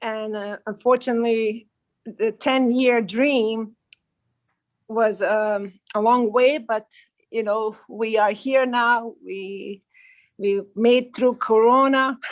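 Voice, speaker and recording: Over a quiet background, a woman with a Bosnian accent speaks very slowly in a fairly high, monotone, flat voice, with long, frequent pauses. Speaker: baker and cafe owner, former teacher. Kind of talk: self-introduction on a livestream panel.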